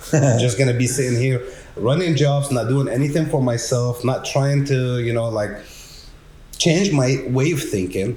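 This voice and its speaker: Audible room echo surrounds a man's dark, mellow, somewhat breathy voice at a medium pitch. He moves at a moderate pace with ordinary pitch variation. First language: not English. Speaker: technician manager at a garage door company. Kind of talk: casual podcast conversation.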